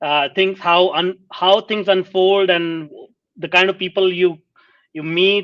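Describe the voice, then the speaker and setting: This man has a high pitch, a non-native accent and fairly even intonation. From India. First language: not English. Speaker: podcast host. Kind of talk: interview conversation.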